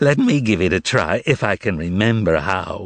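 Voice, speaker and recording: Putting on a character voice, a man speaks fairly low in pitch. His pace is moderate. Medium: read story. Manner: condescending, theatrical.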